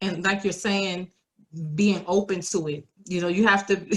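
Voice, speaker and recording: Here a woman speaks in a New York accent at a medium pitch. Her intonation stays fairly even. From New York, the Bronx. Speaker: podcast guest, single mother in blended family. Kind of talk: casual interview chat.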